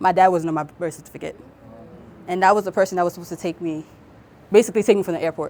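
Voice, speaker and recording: Speaking at a very fast pace broken by long, frequent pauses, a woman with a dark, mellow tone keeps her intonation fairly even while her loudness swings widely. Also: medium pitch for a woman. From Cameroon. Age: 20s. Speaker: guest speaker. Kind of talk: personal testimony. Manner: halting.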